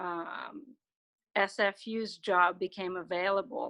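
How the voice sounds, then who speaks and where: Against a quiet background, a woman talks at medium pitch with ordinary pitch variation and a bright, sharp tone. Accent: Quebec French. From Quebec. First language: French. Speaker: university soccer coach. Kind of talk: interview.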